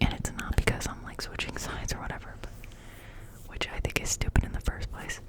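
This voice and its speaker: A woman whispers over noticeable background noise. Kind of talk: ASMR ramble to camera. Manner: casual, chatty.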